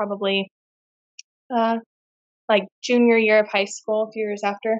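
Speaking at a fairly slow pace with long, frequent pauses, a woman with an American accent keeps her fairly high voice flat and monotone. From California, US. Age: 20s. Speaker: deliverance minister. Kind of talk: casual interview testimony. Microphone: sound technical issues early on.

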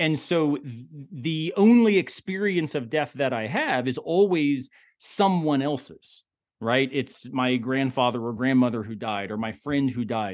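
A man's fairly high voice in a Southern US accent, fairly slow, with lively intonation and a quiet background. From US South. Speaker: philosopher. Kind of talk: casual chat.

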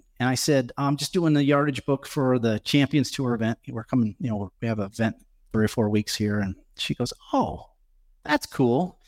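A man with an American accent uses an ordinary speaking voice at medium pitch and a moderate pace, with ordinary pitch variation. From Nebraska, US Midwest. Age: 50s. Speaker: golf caddie. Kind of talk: live podcast interview before audience. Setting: venue with live audience.

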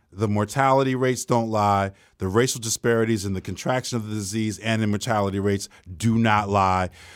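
Speaking at a fairly quick pace, a man has an American accent. His intonation is fairly even in a very clean recording with a silent background. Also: fairly low pitch for a man. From Newark, New Jersey. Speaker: academic and writer. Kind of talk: casual chat. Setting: studio.

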